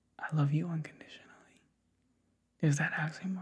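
The speech is soft-spoken and whispered. The background is quiet. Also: man. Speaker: ASMR artist. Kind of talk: ASMR personal attention. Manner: soft whispering; casual, playful. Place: home room.

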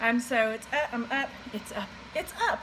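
A woman speaks at a high pitch with ordinary pitch variation. There is noticeable background noise. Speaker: homeschool mom vlogger. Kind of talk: casual vlog chat. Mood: relaxed, slightly sleepy. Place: kitchen. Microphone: webcam.

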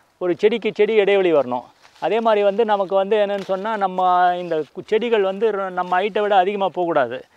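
The recording has a dry sound with no echo as a man talks at a high pitch with ordinary pitch variation. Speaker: retired civil servant turned organic farmer. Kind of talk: interview, farm walkthrough explanation. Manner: halting, many fillers and repetitions. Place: farm machine.

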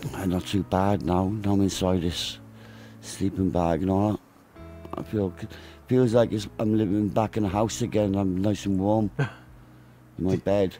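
A man's fairly low voice at a fairly slow pace, fairly even in intonation, with music in the background. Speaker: TV news presenter and journalist. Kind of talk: documentary interview.

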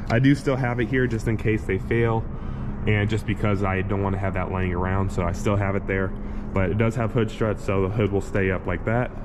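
A man with a fairly low pitch and fairly even intonation speaks at a fairly quick pace. Noticeable background noise is present. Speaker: private car seller. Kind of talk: casual walkthrough. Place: garage. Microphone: phone near.

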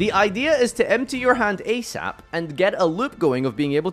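Faint background music can be heard. Over it, a man talks. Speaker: game streamer. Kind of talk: casual commentary. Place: home room. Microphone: studio mic.

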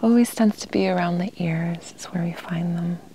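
Soft-spoken with a gentle tone, the voice keeps a moderate pace in a dry sound with no echo over light background noise. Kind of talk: calm casual talk about pets. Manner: soft-spoken, gentle ASMR murmur.

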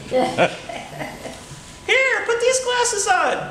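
A man's put-on character voice, extremely high-pitched, over clear background noise with a slight echo. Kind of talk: storytelling speech at a tall tales contest. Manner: excited, urgent.

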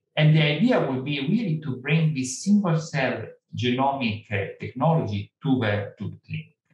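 The pace is moderate, with ordinary pitch variation. Room echo is audible. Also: man, fairly high pitch for a man. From Italy. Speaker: cancer genomics professor. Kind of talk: lecture. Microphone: webcam.

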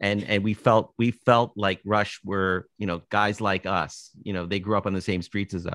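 Speaking with a Canadian accent in an unremarkable speaking voice, a man with a fairly low pitch talks at a moderate pace with fairly even intonation, the sound dry with no echo against a quiet background. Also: hardly any pauses. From Canada, Toronto. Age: 60s. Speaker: author and musician; guest. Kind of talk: casual interview chat. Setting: video call. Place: home room. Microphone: video call.

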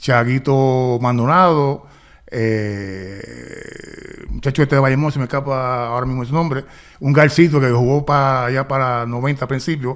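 The background stays quiet. Over it, a man talks at a very slow pace. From Puerto Rico, raised partly in Los Angeles. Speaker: retired basketball player; guest. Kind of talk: interview. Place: studio. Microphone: studio mic.

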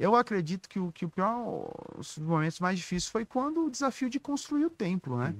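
A man speaks fast-ish in a high voice with very wide pitch swings and big swings in loudness. The sound is dry with no echo, and the pace is fairly quick. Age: 30s. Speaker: pastor. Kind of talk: casual interview. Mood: reflective. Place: studio. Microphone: studio mic.

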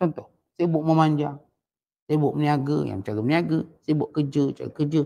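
We hear a male speaker. He keeps a moderate tempo. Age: old. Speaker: religious teacher. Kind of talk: religious lecture. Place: home room. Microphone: headset.

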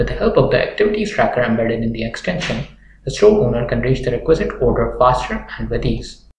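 A man with a medium pitch talks at a fairly quick pace, making big pitch swings amid strong room echo.

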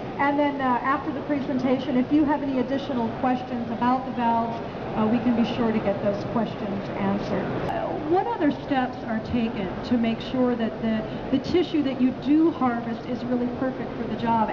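A woman at a fairly quick pace over loud background noise. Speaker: corporate presenter. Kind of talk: live trade show presentation. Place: hall. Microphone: headset.

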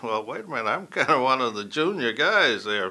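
The man's voice has a bright, sharp tone. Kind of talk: interview answer. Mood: calm, reflective. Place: studio.

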